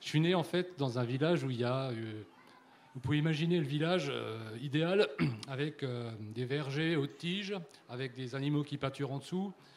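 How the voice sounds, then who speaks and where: Here a man speaks at a fairly high pitch with a slight Alsatian accent. He leaves long, frequent pauses. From Alsace, France. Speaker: livestock farmer. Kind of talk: panel discussion. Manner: halting.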